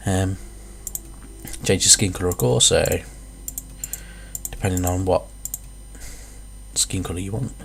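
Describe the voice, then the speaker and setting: Amid noticeable background noise, a man talks with long, frequent pauses. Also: moderate pace. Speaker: gamer. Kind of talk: casual gameplay commentary.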